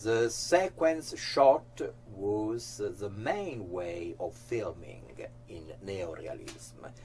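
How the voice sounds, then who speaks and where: A man with an Italian accent speaks at a very slow pace, his loudness swinging widely. Noticeable background noise is present. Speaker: actor and interviewer. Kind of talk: scripted narration.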